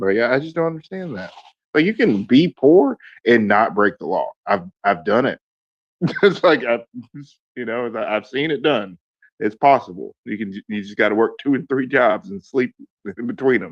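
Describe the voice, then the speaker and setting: In a Southern US accent, a man of medium pitch speaks with very wide pitch swings, big swings in loudness and long, frequent pauses, in a dry, close sound with no echo. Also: moderate pace. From US South, Georgia (near Fort Benning). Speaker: political candidate. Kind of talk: casual chat. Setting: online audio space.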